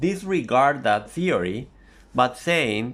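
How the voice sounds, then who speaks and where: In a room with audible echo, a man with a Spanish accent speaks at a very slow pace with very wide pitch swings. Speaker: language teacher. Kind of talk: lecture.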